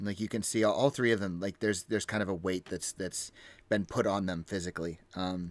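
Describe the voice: The voice is plain reading aloud. It simply reads the text.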